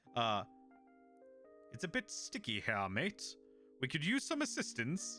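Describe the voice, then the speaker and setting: A man puts on a character voice at a fairly high pitch, speaking at a fairly slow pace with long, frequent pauses. His loudness stays very even while faint music plays in the background. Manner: understated, casual.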